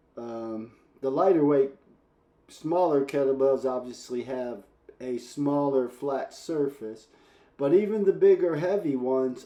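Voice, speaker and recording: With a fairly high pitch, a man speaks at a fairly slow pace with ordinary pitch variation. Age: 60s. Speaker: fitness coach. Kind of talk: casual workout explanation to camera. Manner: casual, hesitant with fillers.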